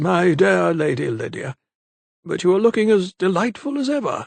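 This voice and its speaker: A man puts on a character voice with a high pitch at a moderate pace. The recording is dry and close with no echo. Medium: read story. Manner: genial, old-fashioned.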